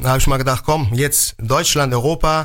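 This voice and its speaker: This is a man speaking. His pitch is fairly high. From Germany, Mainz. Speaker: pizza chef. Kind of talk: radio interview.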